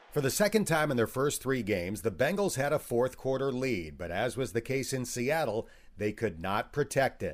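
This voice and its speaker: A man at a medium pitch talks at a moderate pace with hardly any pauses, very wide pitch swings and vocal fry. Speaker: podcast host. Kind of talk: podcast hosting, narration and interview.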